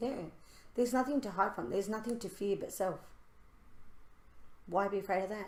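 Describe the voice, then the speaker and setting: At a fairly quick pace, a woman speaks at a medium pitch with ordinary pitch variation and long, frequent pauses. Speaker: spiritual podcast co-host. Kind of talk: casual chat. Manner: loud; animated.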